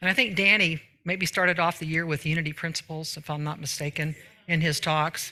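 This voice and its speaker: A bright, sharp tone at a fairly quick pace. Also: woman. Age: 70s. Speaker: minister. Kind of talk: sermon. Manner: animated.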